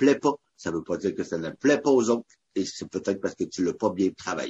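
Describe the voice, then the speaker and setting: With lively intonation, this man talks at a medium pitch. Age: 30s. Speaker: barbecue cook and charity founder. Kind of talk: casual interview. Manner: energetic; talkative.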